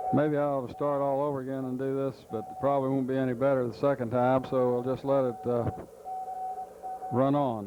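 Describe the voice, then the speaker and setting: A man with an American accent talks at a fairly quick pace in a flat monotone at medium pitch. Noticeable background noise is present. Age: old. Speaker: amateur radio operator. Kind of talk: unrehearsed home film narration. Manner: casual, hesitant.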